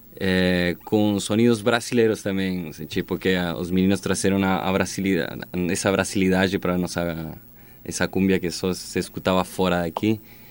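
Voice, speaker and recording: Speaking with a Spanish accent, a man uses a very deep, low pitch, a moderate pace and fairly even intonation. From Chile, Magallanes. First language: Spanish (speaking Portuguese). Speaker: band singer and guitarist. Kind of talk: interview.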